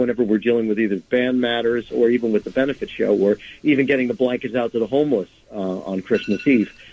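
In a New York accent, a man speaks at a fairly quick pace with a medium pitch and fairly even intonation. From Nyack, New York. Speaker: indie rock musician and charity concert organizer. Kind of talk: interview.

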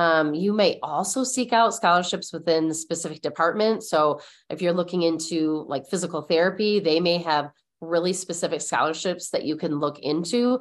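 A woman with an American accent speaks in a normal speaking voice, fairly low-pitched, at a moderate pace with ordinary pitch variation against a quiet background. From Michigan, US (Mount Pleasant). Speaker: college readiness specialist. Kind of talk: interview.

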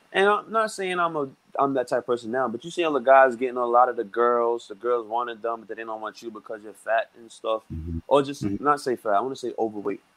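With an American accent, a man in a normal speaking voice talks at a fairly quick pace, with medium pitch and lively intonation. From Brooklyn, New York. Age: 20s. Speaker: musician. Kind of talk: casual chat. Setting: video call.

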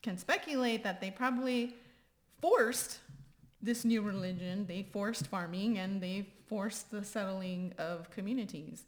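A woman with a Texan accent speaks at a fairly slow pace in a medium pitch. Her voice is somewhat breathy, with ordinary pitch variation. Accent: Texan American English. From Texas, San Antonio. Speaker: podcast host. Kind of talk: casual chat.

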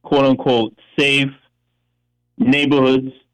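A man speaks with an American accent at a fairly high pitch. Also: dry, close sound with no echo. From Bronx, New York. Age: 70s. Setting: phone call. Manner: halting.

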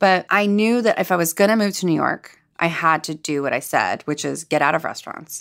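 A woman with a fairly low voice speaks in a Californian accent, with ordinary pitch variation. The recording is very clean, with a silent background. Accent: Californian American. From Los Angeles, US. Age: 30s. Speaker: chef and food writer. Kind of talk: interview conversation.

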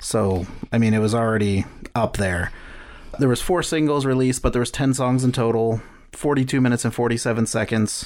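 Speaking at a fairly quick pace, a man with an unremarkable speaking voice keeps a medium pitch, ordinary pitch variation and very even loudness. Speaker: podcast co-host. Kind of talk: casual chat.

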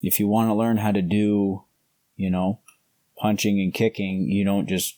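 With a Canadian accent, a man speaks at a very deep, low pitch in a flat monotone at a moderate pace, the sound dry and close with no echo on a very clean recording with a silent background. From Canada. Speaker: grappling world champion. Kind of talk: casual interview.

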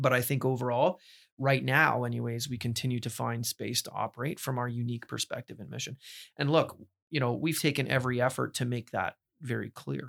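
In an ordinary speaking voice, a man with a Canadian accent talks at a fairly quick pace and a medium pitch. The recording is very clean, with a silent background and a dry, close sound with no echo. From Ontario, Canada (Burlington). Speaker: university president. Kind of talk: interview conversation.

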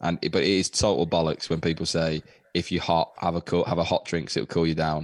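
The speaker has an English accent and a fairly quick pace. Intonation stays fairly even, and the sound is dry and close with no echo. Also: man, very deep, low pitch for a man, very even loudness, very clean recording, silent background. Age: 20s. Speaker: comedian and teacher. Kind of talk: casual chat.

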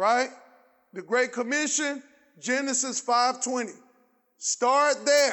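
Very slow speech comes from a man with an extremely high pitch. He leaves long, frequent pauses. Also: fairly even intonation. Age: 50s. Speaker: pastor. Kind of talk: sermon; fervent call-and-response preaching, hammering rhetorical questions at the congregation. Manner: conversational and colloquial, prompting audience replies; rising, insistent cadence with repeated phrases building intensity.

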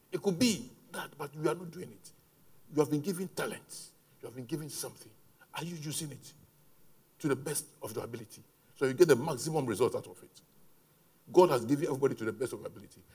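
A man with a fairly high pitch talks at a very fast pace, broken by long, frequent pauses. His tone is dark and mellow and somewhat breathy. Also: ordinary pitch variation, big swings in loudness. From Ghana. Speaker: pastor. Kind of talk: sermon.

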